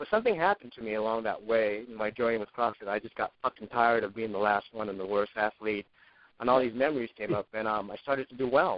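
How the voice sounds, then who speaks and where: A man talks at a very fast pace and a medium pitch. His intonation stays fairly even. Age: 50s. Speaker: fitness blogger. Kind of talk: casual chat.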